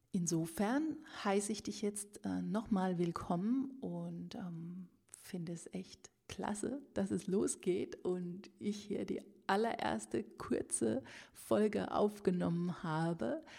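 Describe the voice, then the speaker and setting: Somewhat breathy and with a dark, mellow tone, a woman speaks at medium pitch and a very slow pace, her pitch swinging very widely. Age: 40s. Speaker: author and podcast host. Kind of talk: casual solo podcast monologue. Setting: at her desk with a microphone.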